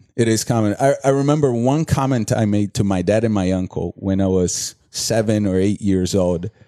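Against a quiet background, a man with a Brazilian accent speaks at a moderate pace and a fairly low pitch with a dark, mellow tone, ordinary pitch variation, very even loudness, and hardly any pauses. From Brazil, São Paulo. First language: Portuguese. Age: 30s. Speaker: entrepreneur and former soccer player. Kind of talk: casual interview. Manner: halting, many repetitions.

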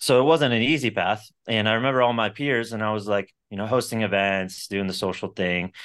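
With an American accent, a man speaks in a plain, everyday voice at a fairly low pitch and a fairly quick pace, with ordinary pitch variation and hardly any pauses. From Florida (Sarasota). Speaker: entrepreneur. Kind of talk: interview. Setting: podcast recording.

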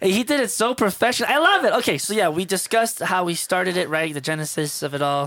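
A man's high-pitched, bright, sharp voice, animated in tone, with lively intonation, a very fast pace and hardly any pauses. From Miami, Florida. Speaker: DJ. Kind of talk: casual chat.

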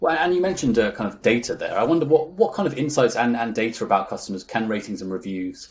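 A man with a British accent at a very fast pace, medium pitch and lively intonation. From UK. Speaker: industry news interviewer. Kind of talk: interview.

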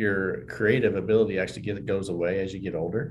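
A somewhat breathy man talks at a fairly quick pace with audible room echo. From southwest Kansas (Johnson). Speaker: bank executive and podcast host. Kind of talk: interview conversation.

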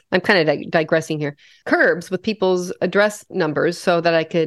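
A woman with an American accent speaks fairly quickly at a fairly low pitch, in an unremarkable speaking voice. The sound is dry and close with no echo, over a quiet background. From US Midwest (western Nebraska). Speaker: podcast co-host. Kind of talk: casual chat.

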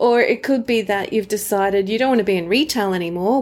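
At a fairly quick pace, a woman talks in a plain, everyday voice. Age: 40s. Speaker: relationships podcast host. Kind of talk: solo podcast talk.

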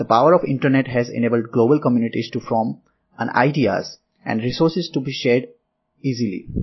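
A man with a Gujarati accent, very fast in pace, with ordinary pitch variation. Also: medium pitch for a man. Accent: Indian English (Gujarati). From India, Gujarat (Ahmedabad). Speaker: software developer. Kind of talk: interview answers, apparently prepared. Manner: formal.

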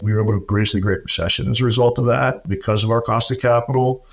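A man speaks in a medium pitch with a somewhat breathy voice. His intonation is fairly even. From US, military family, moved around. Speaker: real estate developer. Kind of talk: interview.

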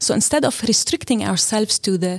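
A woman speaks at a medium pitch and a moderate pace, somewhat breathy, with ordinary pitch variation. The sound is dry and close, with no echo. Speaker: seminary partnerships director. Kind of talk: interview.

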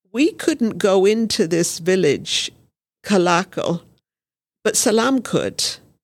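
Speaking at a very slow pace with long, frequent pauses, a woman with a British accent uses a medium pitch and lively intonation, her loudness very even on a very clean recording with a silent background. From Brazil. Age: 70s. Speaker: missionary nurse and midwife. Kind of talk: interview testimony.

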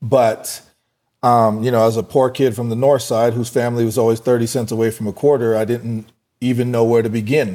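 Using monotone, flat intonation, a man with an American accent talks at a fairly quick pace and a medium pitch in a dark, mellow tone. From US West (Fort Collins, Colorado). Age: 40s. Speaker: entrepreneur and boxing gym owner. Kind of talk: interview.

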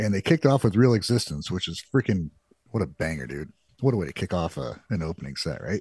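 At a very fast pace, a man with a very deep, low voice and vocal fry swings his pitch very widely, heard in a dry, close sound with no echo. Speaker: music reaction podcast co-host. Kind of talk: casual chat. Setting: live stream.

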